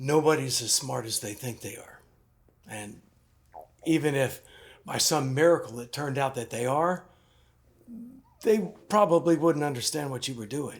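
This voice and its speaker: Putting on a character voice, a man speaks at a moderate pace, raspy and fairly high in pitch. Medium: short film. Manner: measured, knowing.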